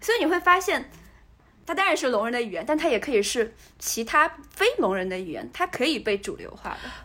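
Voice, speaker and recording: In a raised, projected voice, a woman speaks with a high pitch and very wide pitch swings. Her pace is fairly quick. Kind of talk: casual chat.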